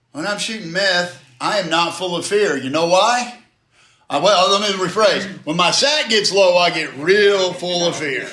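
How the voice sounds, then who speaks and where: The man's voice is high in pitch and loud. He speaks at a fairly slow pace, with audible room echo. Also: ordinary pitch variation. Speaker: recovery speaker. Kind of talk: interactive group talk. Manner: animated. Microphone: far from the recorder.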